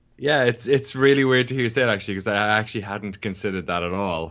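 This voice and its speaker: A man with an Irish accent, fairly low-pitched, with ordinary pitch variation. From Ireland. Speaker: documentary filmmaker, games journalist. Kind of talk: interview conversation. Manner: casual, with frequent fillers and restarts.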